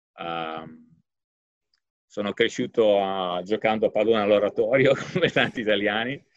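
A man's fairly low voice at a fairly slow pace, with long, frequent pauses. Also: ordinary pitch variation. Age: 50s. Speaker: economics professor. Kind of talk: interview. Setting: office. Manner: halting.

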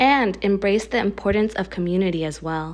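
A woman with an American accent speaks at a fairly slow pace in a medium pitch, with ordinary pitch variation. She has an unremarkable speaking voice, and the background is quiet. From US, Filipino American. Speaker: mental health practitioner and podcast host. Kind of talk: scripted intro.

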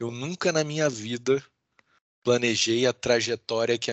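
Ordinary pitch variation marks a normal speaking voice. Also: man. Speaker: law professor and lawyer. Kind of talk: interview.

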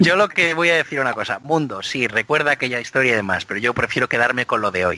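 A man with a medium pitch talks at a very fast pace, with hardly any pauses. His intonation is lively, and the sound is dry and close with no echo. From Spain, Biscay (Basque Country). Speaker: motorsport podcast co-host. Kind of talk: casual chat.

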